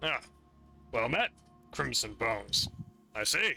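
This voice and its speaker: Over faint music in the background, a man does a raspy put-on character voice at a fairly slow pace. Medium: actual play. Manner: relaxed, thoughtful.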